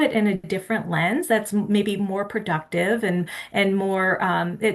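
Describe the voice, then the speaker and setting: Speaking at a moderate pace, a woman with a Midwestern American accent uses a medium pitch. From US Midwest. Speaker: theology professor. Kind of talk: webinar presentation. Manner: halting, many fillers.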